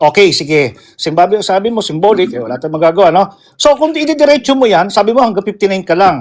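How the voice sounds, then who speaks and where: Very fast, loud delivery with hardly any pauses and very wide pitch swings. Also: man, high pitch for a man. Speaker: religious apologetics streamer. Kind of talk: religious debate on live call.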